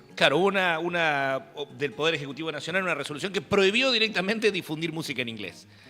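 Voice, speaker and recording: A man speaks at a very fast pace with hardly any pauses, in a Rioplatense accent. His voice is high, bright and sharp, with lively intonation. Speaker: journalist interviewer. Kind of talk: interview.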